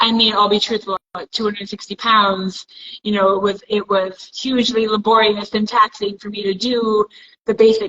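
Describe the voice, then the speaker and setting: Talking at a fairly quick pace, a woman with a normal speaking voice keeps a medium pitch and fairly even intonation. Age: 40s. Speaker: amateur boxer and coach. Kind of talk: casual chat.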